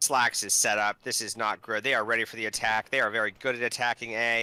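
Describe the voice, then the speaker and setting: Dry and close with no echo, a man's medium-pitched voice moves at a fairly quick pace. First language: not English. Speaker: team owner co-casting esports match. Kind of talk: live commentary. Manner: animated.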